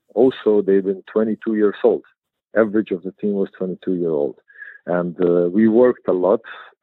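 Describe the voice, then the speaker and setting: A man with a Croatian accent speaks in a fairly low pitch. His pace is moderate and his intonation fairly even. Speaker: basketball head coach. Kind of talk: interview. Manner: halting, repeats words.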